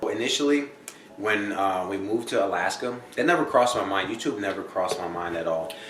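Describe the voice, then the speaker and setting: Very fast and with lively intonation, a man with an American accent and a fairly low pitch talks amid audible room echo and noticeable background noise. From New Jersey. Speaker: family vlogger, soldier. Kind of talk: casual chat.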